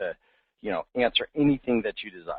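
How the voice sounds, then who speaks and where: At a very fast pace, a man talks with a fairly high pitch. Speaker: real estate marketing webinar host. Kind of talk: webinar presentation. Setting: online webinar. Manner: animated.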